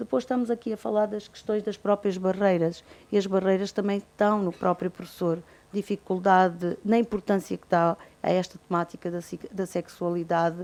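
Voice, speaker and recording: A woman's medium-pitched voice at a moderate pace. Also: fairly even intonation. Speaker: university nursing professor. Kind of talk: conference presentation. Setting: auditorium with audience. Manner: trails off, voice drops in volume.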